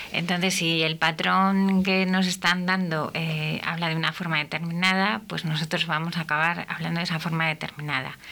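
A moderate pace, monotone, flat intonation and hardly any pauses. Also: woman, fairly low pitch for a woman. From Castile, Spain. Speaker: speech therapist and radio host. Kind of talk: radio talk show. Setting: radio studio.

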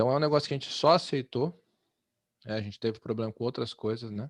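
Speaking at a very fast pace, a man with a medium pitch and ordinary pitch variation leaves long, frequent pauses. The sound is dry and close with no echo, over a quiet background. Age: 30s. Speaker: podcast host. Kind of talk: casual discussion.

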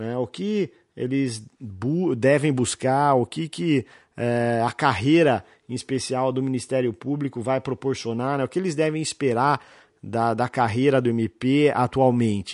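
Using a plain, everyday voice, a man speaks at a fairly slow pace with medium pitch and ordinary pitch variation. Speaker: criminal lawyer, podcast host. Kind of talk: casual interview chat. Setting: office set up as studio.

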